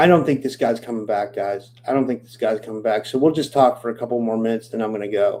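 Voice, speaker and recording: In a Pittsburgh accent, a dark, mellow voice races at a very fast pace with hardly any pauses, ordinary pitch variation, and big swings in loudness. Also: man, medium pitch for a man. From Pittsburgh, Pennsylvania, US. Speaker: podcast host. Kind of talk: live stream chat with viewers. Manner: casual, halting with many fillers.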